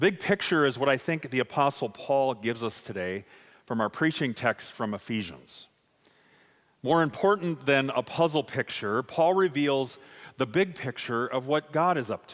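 A man with a normal speaking voice talks at a moderate pace and medium pitch. His intonation is lively, and the recording is very clean with a silent background. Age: 50s. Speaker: pastor. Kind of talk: sermon.

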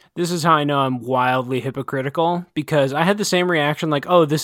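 He talks at a fairly quick pace, his pitch varying in an ordinary way. This man has an unremarkable speaking voice. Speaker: podcast host. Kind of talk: casual podcast conversation with co-host, book review; reading a poem aloud. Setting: remote recording, both in quarantine.

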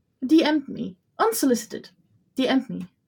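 A somewhat breathy woman's voice at a fairly slow pace, with lively intonation. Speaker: podcast co-host and paint maker. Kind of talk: casual chat. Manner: animated.

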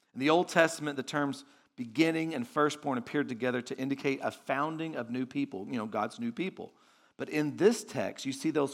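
A normal speaking voice from a man with an American accent, fairly high in pitch, at a fairly quick pace with ordinary pitch variation. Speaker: visiting pastor. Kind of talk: sermon. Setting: church. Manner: conversational, warm, filler-heavy.

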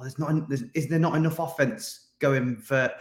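A man speaks at a moderate pace. His medium pitch carries fairly even intonation.

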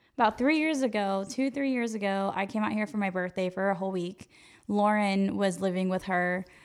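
A woman with an American accent, fairly quick pace and ordinary pitch variation. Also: medium pitch for a woman, very clean recording, silent background. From Northern California (Yuba City). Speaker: DJ and real estate marketer. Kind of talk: casual chat.

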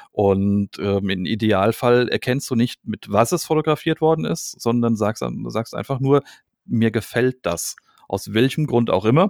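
Recorded very cleanly against a silent background, with a dry, close sound and no echo, a man uses a normal speaking voice at a medium pitch and a fairly slow pace. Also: lively intonation. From Hesse, Germany (Gelnhausen). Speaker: podcast host, photographer. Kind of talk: casual chat.

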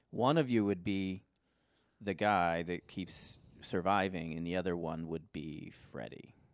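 Over a silent background in a very clean recording, a man speaks fairly slowly at a very deep, low pitch with ordinary pitch variation. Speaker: improv comedy podcast host. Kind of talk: casual improv comedy banter.

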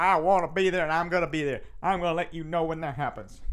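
In a very clean recording with a silent background, a man talks at a fairly high pitch. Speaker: podcast host. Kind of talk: casual monologue. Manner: energetic, projecting.

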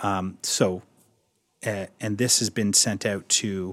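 Here a man speaks with an Ontario accent in a fairly low voice. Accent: Canadian (Ontario). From Ontario, Canada (Toronto suburbs). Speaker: theatre designer. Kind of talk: interview. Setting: library of a theatre.

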